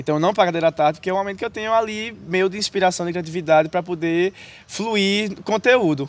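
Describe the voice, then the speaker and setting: Very fast speech comes with ordinary pitch variation. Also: man, high pitch for a man. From Brazil, Paraíba (Northeast). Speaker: youtuber and student. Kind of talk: casual interview. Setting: outdoors in a university square.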